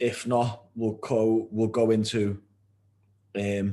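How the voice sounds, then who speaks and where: Here a man talks in a British accent at a fairly low pitch. His intonation is monotone and flat. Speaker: nutrition coach. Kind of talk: tutorial.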